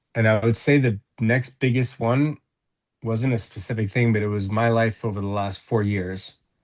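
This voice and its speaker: A man speaks in an unremarkable speaking voice at a moderate pace and medium pitch, his intonation fairly even. The background is quiet. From United States, moved from England at seven. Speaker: guest in recovery from addiction. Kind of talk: interview.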